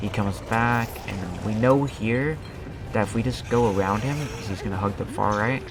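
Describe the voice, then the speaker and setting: A man talks at a moderate pace with ordinary pitch variation and a fairly low pitch. Music plays in the background, and room echo is audible. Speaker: gaming YouTuber. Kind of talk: gameplay commentary. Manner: casual.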